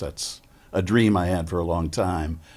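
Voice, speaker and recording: Very deep, low pitch from a man with vocal fry, ordinary pitch variation and a fairly slow pace. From US Midwest, Chicago. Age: 70s. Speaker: podcast host. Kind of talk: interview.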